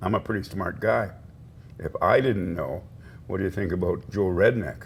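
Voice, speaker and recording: A somewhat breathy voice speaks at a moderate pace with ordinary pitch variation. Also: man, very deep, low pitch for a man. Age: 70s. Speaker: First Nations chief. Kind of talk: interview.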